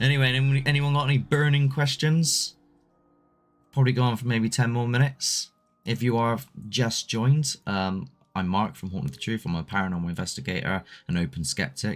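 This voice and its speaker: A man speaks at a medium pitch with lively intonation. Music plays in the background. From Southwest England. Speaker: paranormal investigator and livestream host. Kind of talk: casual live chat reading viewer comments. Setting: solo livestream. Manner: loose and conversational, with hesitations.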